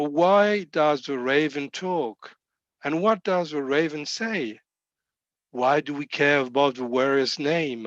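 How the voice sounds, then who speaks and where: Speaking very slowly in a French accent, the voice has lively intonation and a dry, close sound with no echo over a quiet background. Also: man. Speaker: rabbi. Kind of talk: sermon. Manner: halting.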